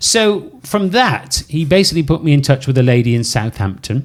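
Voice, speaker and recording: Using an animated tone and very wide pitch swings, a man with medium pitch speaks with a slight Welsh accent. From Wales, Cardiff. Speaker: podcast host, former cruise ship DJ. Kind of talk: casual chat.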